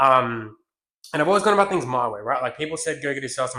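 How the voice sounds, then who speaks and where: Bright and sharp in tone, a man speaks at a very fast pace in an Australian accent. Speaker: business coach. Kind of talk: business tutorial. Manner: aggressive, animated.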